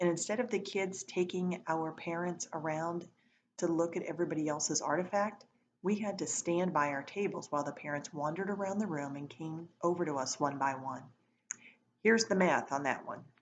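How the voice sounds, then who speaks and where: A woman with an unremarkable speaking voice has a fairly low pitch and ordinary pitch variation. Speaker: teacher reading aloud to students. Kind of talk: reading aloud.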